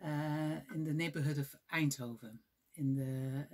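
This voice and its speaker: A woman with a Dutch accent talks in a very deep, low voice. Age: 40s. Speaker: knitting vlogger. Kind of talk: casual vlog. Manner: halting, many fillers.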